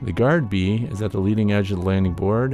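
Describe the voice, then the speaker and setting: Behind the speaker, music can be heard. He is a man whose pitch sits fairly low. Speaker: beekeeper. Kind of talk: narrated educational video update.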